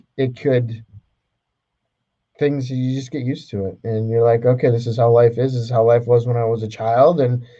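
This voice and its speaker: A man speaks at medium pitch and a moderate pace, somewhat breathy. His intonation is monotone and flat. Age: 40s. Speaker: podcast co-host. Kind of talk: casual chat.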